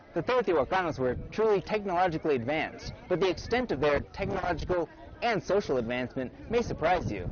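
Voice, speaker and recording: A man talks at a very fast pace in a high pitch, with very wide pitch swings, over noticeable background noise. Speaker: broadcast reporter and anchor. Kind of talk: TV news reporter voice-over reel.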